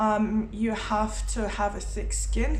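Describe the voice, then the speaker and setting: A woman speaks with a Lithuanian accent. The recording has audible room echo and noticeable background noise. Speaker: motorcycle travel vlogger and writer. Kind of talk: casual vlog talk. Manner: hesitant, many fillers.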